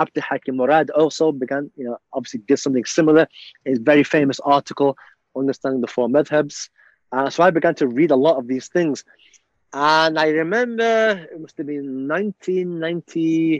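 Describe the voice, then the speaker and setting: In a Liverpool accent, a man speaks at a moderate pace with fairly high pitch, ordinary pitch variation and big swings in loudness. The sound is dry and close with no echo, and the background is quiet. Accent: Liverpool (Scouse) English. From England, Liverpool. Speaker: imam and university chaplain. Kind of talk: interview storytelling. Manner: halting, many fillers.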